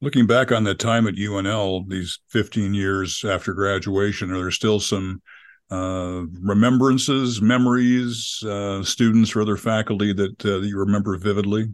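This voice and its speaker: Against a quiet background, a man in a normal speaking voice talks at a moderate pace with a fairly low pitch, fairly even intonation and hardly any pauses. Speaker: radio host. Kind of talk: interview.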